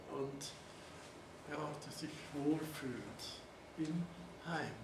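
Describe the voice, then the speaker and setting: A man's fairly high voice at a very slow pace, fairly even intonation, noticeable background noise behind it. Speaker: Holocaust survivor, eyewitness speaker. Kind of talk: eyewitness testimony, talk to an audience with slides. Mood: calm, reflective. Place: classroom. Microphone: camera far.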